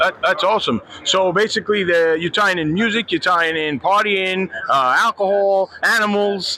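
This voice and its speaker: Over noticeable background noise, a man with a Brooklyn accent speaks in a raised, projected voice at a high pitch. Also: ordinary pitch variation, moderate pace, hardly any pauses. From Brooklyn, New York. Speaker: podcast host. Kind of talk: casual interview.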